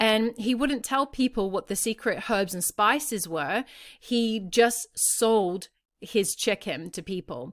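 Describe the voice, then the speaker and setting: A woman with an Australian accent, fairly high in pitch with ordinary pitch variation, at a very slow pace, with a dry, close sound with no echo on a very clean recording with a silent background. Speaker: parenting podcast host. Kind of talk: podcast monologue, storytelling. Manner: conversational.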